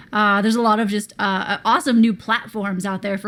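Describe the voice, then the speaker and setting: Spoken with an American accent and monotone, flat intonation, this is a very clean recording with a silent background. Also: woman. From US South. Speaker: podcast co-host. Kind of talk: casual chat.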